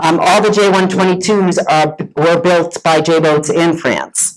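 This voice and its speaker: A woman speaks with a Boston accent at a fairly low pitch, with ordinary pitch variation. Her loudness stays very even, and she hardly pauses. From Massachusetts, north of Boston. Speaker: sailor and boat owner. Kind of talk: presentation talk.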